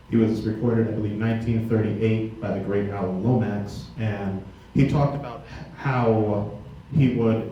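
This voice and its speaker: Over noticeable background noise and audible room echo, a man speaks at a fairly slow pace with fairly even intonation. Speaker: pianist. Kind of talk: spoken introductions at a concert. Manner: halting, many fillers.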